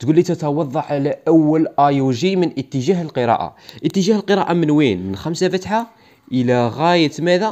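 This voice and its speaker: With a dark, mellow tone and lively intonation, a man talks at a moderate pace in a fairly high pitch. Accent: Algerian. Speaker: biology teacher. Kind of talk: lecture. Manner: repetitive, emphatic.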